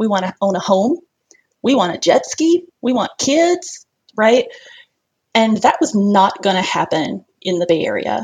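A woman with an American accent speaks at a moderate pace in a fairly high, somewhat breathy voice, her pitch swinging very widely between long, frequent pauses. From US South. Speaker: early retiree, personal finance. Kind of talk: interview.

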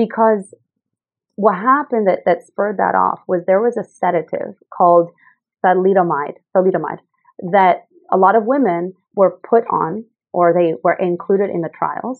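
A woman speaks in an unremarkable speaking voice at medium pitch. Her pace is moderate, and her pitch varies in an ordinary way. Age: 30s. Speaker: health entrepreneur. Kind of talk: interview.

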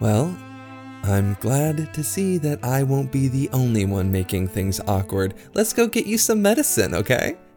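In a put-on character voice, a man sings his lines in a sing-song way at medium pitch and a moderate pace, with clear music playing in the background. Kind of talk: theatrical verse. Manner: playful, teasing, sing-song rhyming.

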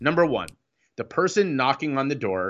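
Using an American accent, a man speaks at a fairly high pitch in a bright, sharp tone, with very wide pitch swings and vocal fry. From Ohio, US. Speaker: recovery speaker and coach. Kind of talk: interview. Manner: halting.

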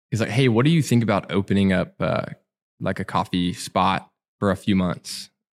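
In a very clean recording with a silent background, a man with a Southern US accent speaks at a moderate pace in a fairly low pitch, his intonation lively and his loudness very even. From Alabama. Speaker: coffee shop owner. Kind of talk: casual interview. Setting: back room of a cafe.

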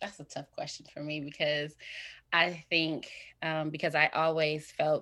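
A woman with a Midwestern US accent speaks at a fairly slow pace in a very deep, low pitch, on a very clean recording with a silent background. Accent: US Midwest. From Indiana, Fort Wayne. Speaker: mental health counseling student and author. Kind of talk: interview. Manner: halting.

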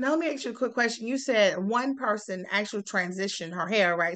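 A woman with an American accent talks in a normal speaking voice at a moderate pace, with ordinary pitch variation over a quiet background. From US South, South Carolina. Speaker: university faculty interviewer. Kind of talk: interview conversation.

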